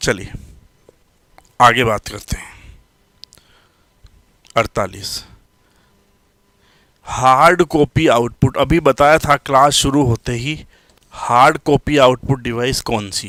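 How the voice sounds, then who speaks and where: A man speaks at a medium pitch with ordinary pitch variation, his bright, sharp tone heard in a dry, close sound with no echo, while his loudness swings widely and long pauses come often. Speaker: computer science teacher. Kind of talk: live online lecture. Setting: live stream class.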